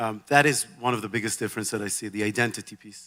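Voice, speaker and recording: A man with an Israeli accent, fairly quick, with a bright, sharp tone and fairly even intonation. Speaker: banker. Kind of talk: onstage interview. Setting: stage with audience.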